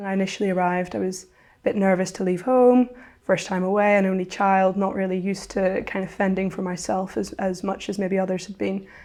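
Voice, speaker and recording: In a Northern Irish accent, a woman with a dark, mellow tone and medium pitch talks at a fairly quick pace with fairly even intonation. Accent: Northern Irish (Belfast). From Northern Ireland, Belfast. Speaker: university student. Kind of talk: interview testimony. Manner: hesitant, with fillers.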